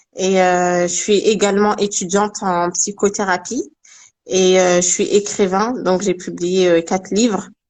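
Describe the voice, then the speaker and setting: At a fairly slow pace, a woman speaks with monotone, flat intonation, medium pitch and very even loudness over a quiet background. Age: 20s. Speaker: Quran teacher and writer. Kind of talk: interview.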